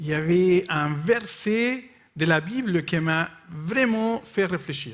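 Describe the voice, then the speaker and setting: A man with a non-native accent speaks at a very slow pace. His pitch is high and his intonation is lively. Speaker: missionary speaker. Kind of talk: sermon with consecutive interpretation. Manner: short phrases with pauses for interpreter; hesitant, with fillers.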